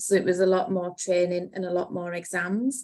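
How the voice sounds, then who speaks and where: With a Cumbrian accent, a woman is speaking. Her pace is moderate. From Cumbria, northern England. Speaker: accountant, business partner. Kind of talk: podcast interview.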